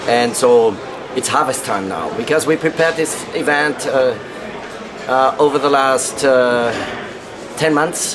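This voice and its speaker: Speaking at a fairly slow pace with long, frequent pauses, a man uses a medium pitch and ordinary pitch variation, with audible room echo and noticeable background noise. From Upper Austria. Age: 60s. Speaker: wine marketing director. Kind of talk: interview. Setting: press room at wine conference. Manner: halting, many fillers.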